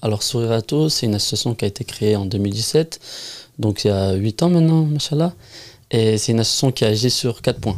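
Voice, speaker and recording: A man speaks at a medium pitch in an ordinary speaking voice, with ordinary pitch variation. The recording is very clean, its background silent. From southern France. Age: 20s. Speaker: charity founder. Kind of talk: interview.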